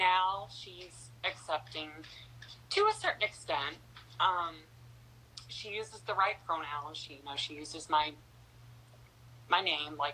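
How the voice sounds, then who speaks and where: Speaking at a fairly slow pace with long, frequent pauses, a woman with an American accent has a very deep, low pitch, ordinary pitch variation and big swings in loudness. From North Carolina. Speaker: interview guest. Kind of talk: interview.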